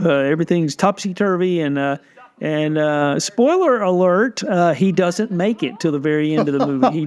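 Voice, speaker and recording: At a moderate pace, a man talks in a high voice with ordinary pitch variation, while noticeable background noise runs underneath. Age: 50s. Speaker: film historian and critic. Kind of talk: casual chat. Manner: halting, many fillers.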